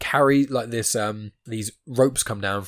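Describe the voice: Over a quiet background, someone reads aloud plainly, with pitch that varies in an ordinary way.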